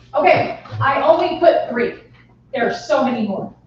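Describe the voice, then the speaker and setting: Over noticeable background noise and audible room echo, a woman speaks at a high pitch with lively intonation. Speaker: real estate trainer. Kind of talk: training workshop.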